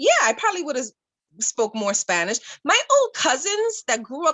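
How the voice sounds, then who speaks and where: At a moderate pace, a woman with an American accent speaks in very wide pitch swings. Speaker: podcast co-host. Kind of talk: casual chat.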